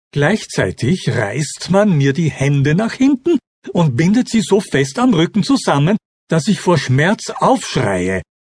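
At a very slow pace, a man speaks in a high voice with very wide pitch swings. His loudness stays very even throughout. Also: dry, close sound with no echo. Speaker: audiobook narrator. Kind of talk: dramatic audiobook narration, first-person. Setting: audiobook recording. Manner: intense, emotionally charged.

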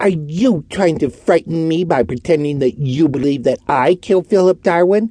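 A man's shrill put-on character voice, fairly high in pitch with ordinary pitch variation, at a moderate pace with hardly any pauses, in a dry, close sound with no echo. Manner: frightened, shrill, indignant.

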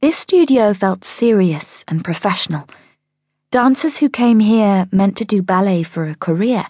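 A woman speaks at a fairly slow pace in a dark, mellow, dramatic tone with lively intonation. The background is quiet. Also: medium pitch for a woman. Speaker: audiobook narrator. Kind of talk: audiobook narration of a children's story, dramatic. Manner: dramatic, expressive storytelling.

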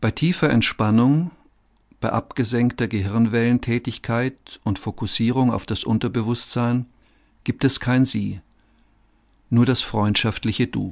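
Against a quiet background, a man of medium pitch speaks at a fairly slow pace. His intonation is fairly even, with long, frequent pauses. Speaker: audiobook narrator. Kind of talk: guided meditation. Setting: studio.

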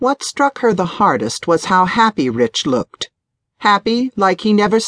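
The speaker is reading aloud in a natural voice, and the background is quiet.

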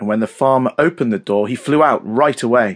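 With a British accent, a man speaks at a moderate pace in an animated, dramatic tone with lively intonation. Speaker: audiobook narrator. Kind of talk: scripted children's audiobook narration, read aloud in rhyming verse. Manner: dramatic, sing-song storyteller cadence with playful emphasis on the rhymes; animated and expressive, suited for young children.

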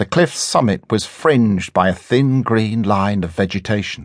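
Over a quiet background, an ordinary speaking voice moves at a fairly slow pace with ordinary pitch variation. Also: man. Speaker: audiobook narrator. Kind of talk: dramatic audiobook narration, first-person adventure story with character voices. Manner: suspenseful, building tension and wonder.

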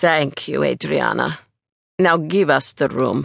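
A put-on character voice, raspy and low-to-middle in pitch, at a fairly slow pace. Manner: calm, controlling.

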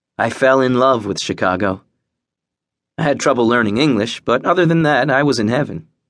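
A man with a plain, everyday voice speaks at a fairly quick pace in a medium pitch, with ordinary pitch variation and very even loudness. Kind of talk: audiobook narration of a memoir, first person. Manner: measured, even storytelling pace with wry, bitter edges.

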